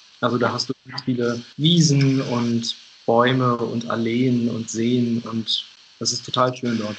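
The speech comes very slowly in a monotone, flat intonation. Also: man, medium pitch for a man. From Hannover, northern Germany. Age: 20s. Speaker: podcast guest. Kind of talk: casual interview. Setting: remote call.

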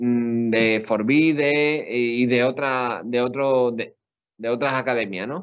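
Very slow speech from a man at medium pitch, with fairly even intonation. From Spain, Seville (Andalusia). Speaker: exam candidate, sociologist. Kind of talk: interview. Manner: halting.

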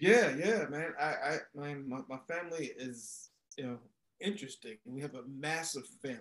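An ordinary speaking voice from a fairly high-pitched man with an American accent, moderate pace, ordinary pitch variation, big swings in loudness. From Maryland, US. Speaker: entrepreneur and former athlete. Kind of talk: casual interview chat.

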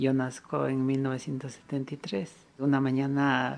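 A man speaks at a medium pitch. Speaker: walking artist. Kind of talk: interview testimony.

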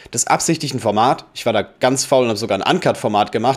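This man talks at a fairly quick pace with a medium pitch and lively intonation. The recording is very clean, with a silent background. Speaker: photographer and podcast host. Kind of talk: casual solo monologue. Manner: unscripted, uncut talk with fillers.

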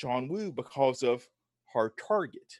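Against a quiet background, a man with a Southern US accent shows ordinary pitch variation. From US South. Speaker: film writer and podcaster. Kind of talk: casual chat. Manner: halting, repeats words.

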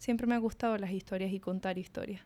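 Fairly even intonation and a medium pitch mark a woman's unremarkable speaking voice. The recording is very clean, with a silent background. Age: 20s. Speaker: illustrator and podcast co-host. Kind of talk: casual chat. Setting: dining table at home.

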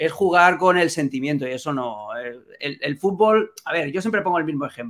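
A man speaks in a normal speaking voice, pitched fairly high. His intonation is lively and his pace moderate. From Catalonia, Spain. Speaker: football journalist. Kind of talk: casual chat.

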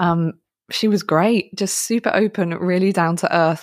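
The recording is very clean, with a silent background. A woman speaks with an English accent and ordinary pitch variation. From England. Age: 30s. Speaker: podcast co-host. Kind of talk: casual interview chat. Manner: animated.

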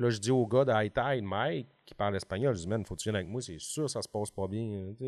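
In a Lac-Saint-Jean accent, the voice uses lively intonation against a quiet background. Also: man. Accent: Lac-Saint-Jean Quebec French. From Quebec, Lac-Saint-Jean (Alma). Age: 40s. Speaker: fishing TV show producer. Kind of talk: casual chat. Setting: office.

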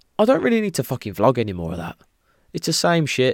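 In an English accent, a man talks at a very fast pace, recorded dry and close with no echo in a very clean recording with a silent background. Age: 30s. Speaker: podcast host. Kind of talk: solo casual monologue.

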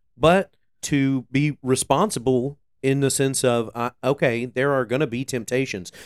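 A man with a plain, everyday voice speaks at a fairly slow pace and a medium pitch, with ordinary pitch variation, on a very clean recording with a silent background and a dry, close sound with no echo. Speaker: co-host, worship leader. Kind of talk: casual chat about faith and scripture.

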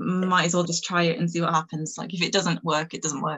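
This woman speaks with a Manchester accent and a fairly low pitch. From northern England. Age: 20s. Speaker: PR publicist and music journalist. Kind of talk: casual chat.

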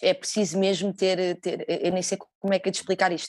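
Against a quiet background, a woman with a medium pitch speaks at a moderate pace. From Portugal. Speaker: fado singer. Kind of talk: interview. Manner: halting.

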